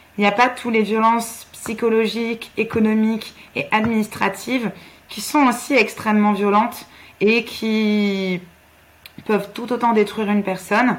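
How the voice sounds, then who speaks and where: The intonation stays flat and monotone as a woman talks with a rather high pitch. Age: 20s. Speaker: physiotherapist and feminist activist. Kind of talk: interview.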